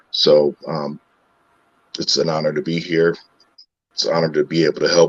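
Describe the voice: Putting on a character voice, a man sounds raspy and hoarse, moving at a moderate pace with long, frequent pauses.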